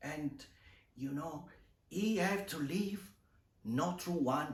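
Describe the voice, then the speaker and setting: A man talks with lively intonation. Noticeable background noise and audible room echo fill the recording. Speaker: video creator, art channel host. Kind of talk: improvised monologue to camera. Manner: hesitant, improvised.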